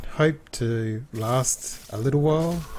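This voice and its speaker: A man with an Australian accent and fairly even intonation. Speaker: gaming video narrator. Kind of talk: let's play commentary. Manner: casual, hesitant with fillers.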